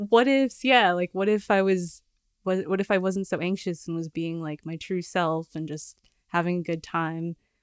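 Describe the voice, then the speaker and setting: Recorded very cleanly with a silent background and a dry, close sound with no echo, a woman with an American accent has an unremarkable speaking voice, a moderate pace and ordinary pitch variation. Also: fairly low pitch for a woman. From Los Angeles. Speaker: singer-songwriter and filmmaker. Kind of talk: casual interview. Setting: studio.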